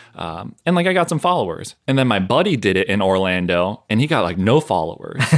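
With an American accent, a man speaks fairly quickly with hardly any pauses, his fairly low voice swinging very widely in pitch. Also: very clean recording, silent background. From US Northeast, southern Maine. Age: 30s. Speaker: massage therapist and fitness content creator. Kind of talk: casual interview chat.

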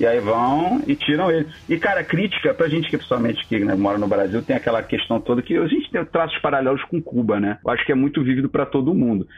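The speaker talks at a very fast pace with lively intonation and very even loudness. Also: man, hardly any pauses. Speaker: podcast panelist. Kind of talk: casual chat. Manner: animated.

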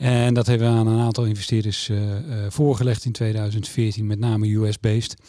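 The voice has a dark, mellow tone and a monotone, flat intonation. Its loudness stays very even at a moderate pace. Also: man, medium pitch for a man. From Netherlands, Utrecht. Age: 50s. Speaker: mortgage company executive. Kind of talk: interview. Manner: hesitant, many filler sounds.

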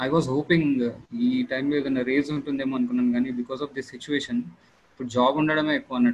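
Monotone and flat in intonation, a man speaks at a medium pitch. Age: 30s. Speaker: software project manager. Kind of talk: Q&A on a video call. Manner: halting.

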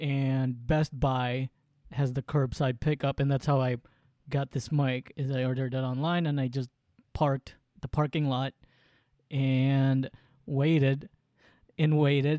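With long, frequent pauses, a man speaks in a dark, mellow, monotone voice that sounds dry and close with no echo. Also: medium pitch for a man, fairly slow pace. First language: Waray. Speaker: podcast co-host. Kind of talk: casual chat. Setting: remote call from San Diego.

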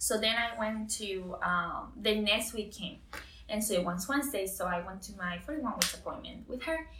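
Through audible room echo and noticeable background noise, a woman with a Spanish accent speaks with ordinary pitch variation. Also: fairly high pitch for a woman, moderate pace. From Costa Rica. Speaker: new mother sharing birth story. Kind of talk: interview, personal story.

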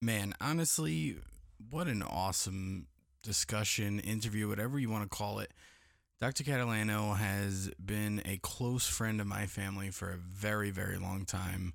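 A man with an American accent speaks in a plain, everyday voice at a fairly low pitch. His pace is moderate and his pitch variation ordinary. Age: 30s. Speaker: podcast host. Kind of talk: casual chat. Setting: studio.

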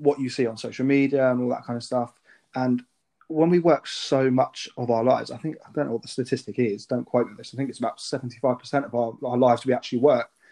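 Moving at a fairly quick pace, a man with a medium pitch and a dark, mellow tone keeps a fairly even intonation. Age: 20s. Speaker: podcast host. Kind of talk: casual interview.

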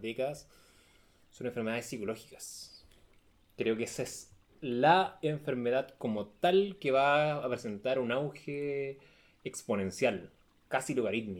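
With a Chilean accent, a man talks at a fairly slow pace and ordinary pitch variation. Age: 30s. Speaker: nutritionist. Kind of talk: casual chat.

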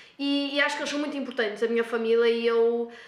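Energetic and very fast, a woman speaks in a high voice over noticeable background noise and audible room echo. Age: 20s. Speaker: nursing student. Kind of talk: casual interview. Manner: energetic, talkative.

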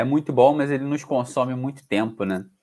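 The man's voice sits at a medium pitch. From Brazil, Rio de Janeiro. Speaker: podcast host, salesperson. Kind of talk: interview conversation. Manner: casual, enthusiastic.

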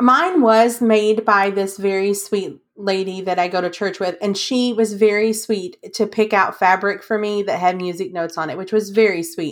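A woman speaks at a moderate pace and medium pitch with ordinary pitch variation. The recording is very clean, with a silent background. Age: 30s. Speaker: podcast co-host. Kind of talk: casual chat. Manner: animated.

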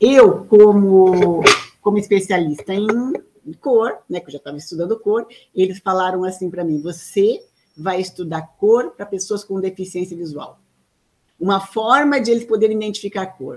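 The voice has a dark, mellow tone and ordinary pitch variation. It moves at a moderate pace with big swings in loudness. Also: woman, medium pitch for a woman. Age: 50s. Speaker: artist and mechanical engineer, inventor of a color method. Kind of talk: interview.

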